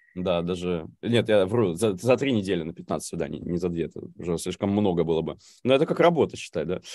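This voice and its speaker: A man talks at a fairly quick pace in a very deep, low voice. His tone is dark and mellow, with ordinary pitch variation. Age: 30s. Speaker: recurring podcast guest, amateur actor. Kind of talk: casual live-stream interview. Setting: live stream over video call.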